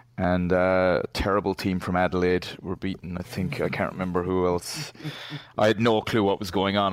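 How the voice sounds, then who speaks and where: The speech moves at a moderate pace with fairly even intonation, on a very clean recording with a silent background. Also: man. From Ireland. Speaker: Twitter user. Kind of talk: casual chat. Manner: rambling, tangential.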